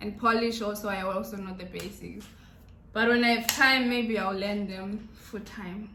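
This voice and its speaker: In a Zimbabwean accent, a woman speaks fairly slowly in a flat monotone, with audible room echo and noticeable background noise. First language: Shona. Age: 20s. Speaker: YouTuber. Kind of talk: casual Q&A vlog.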